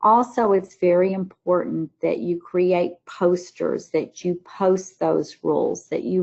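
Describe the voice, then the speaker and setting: Talking fairly slowly in a Southern US accent, a woman keeps a fairly low pitch and fairly even intonation. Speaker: teacher trainer, former teacher. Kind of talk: webinar presentation. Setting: online webinar.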